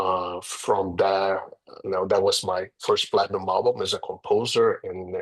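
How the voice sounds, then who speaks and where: Speaking with a Portuguese accent, a man keeps a fairly slow pace. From Brazil, Rio de Janeiro. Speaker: real estate agent and former music producer. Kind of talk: interview. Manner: halting.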